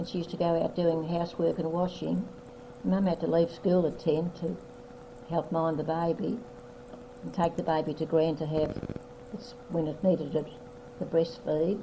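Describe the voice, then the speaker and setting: A woman's fairly low voice with ordinary pitch variation, a moderate pace, long and frequent pauses, and noticeable background noise. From Australia. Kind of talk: family history reminiscence.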